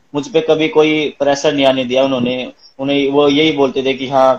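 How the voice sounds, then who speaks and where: Fairly high pitch from a man, flat and monotone, at a moderate pace. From Bhiwani, Haryana, India. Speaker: professional kabaddi player. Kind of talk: interview answer.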